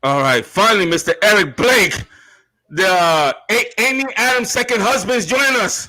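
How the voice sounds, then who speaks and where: A man's raised, projected voice, high-pitched and bright, sharp in tone, with very wide pitch swings, very even loudness and a moderate pace. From US Northeast, Brooklyn, New York. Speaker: online show host. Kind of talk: live-stream panel chat. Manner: halting.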